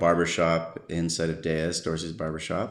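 A man with an American accent speaks at a very deep, low pitch, with audible room echo. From US West Coast, San Diego, California. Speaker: surf photographer. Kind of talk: interview. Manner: halting.

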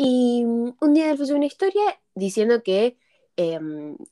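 Her voice has a dark, mellow tone. The woman speaks with lively intonation. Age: young. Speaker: podcast co-host. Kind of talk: casual chat. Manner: halting, repeats words.

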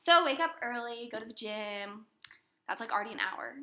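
A woman's bright, sharp voice at a very fast pace. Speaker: podcast host. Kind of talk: casual chat.

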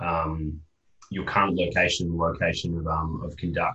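A man speaks in a somewhat breathy voice with an Australian accent. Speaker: podcast host and interviewer. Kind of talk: podcast interview.

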